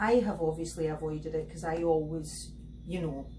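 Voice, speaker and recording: A woman speaks with a Scottish accent. Noticeable background noise and audible room echo surround her. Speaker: beauty therapist and skincare reviewer. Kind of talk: product review tutorial.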